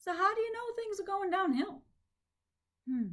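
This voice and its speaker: A woman uses a squeaky, put-on character voice at an extremely high pitch, with a warm, gentle tone. Her intonation is lively and her pace moderate. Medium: read story. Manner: warm, gentle, reflective.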